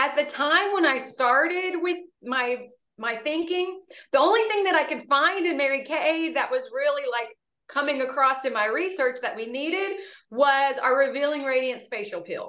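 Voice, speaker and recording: Woman with a high pitch and raised, projected voice, bright and sharp in tone, lively intonation, moderate pace. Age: 40s. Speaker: beauty consultant, sales director. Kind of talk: guest presentation.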